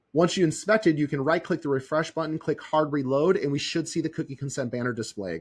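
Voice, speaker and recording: With vocal fry and a fairly high pitch, a man talks at a fairly quick pace with ordinary pitch variation in a very clean recording with a silent background. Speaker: software tutorial presenter. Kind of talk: screen-recorded tutorial. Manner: fast.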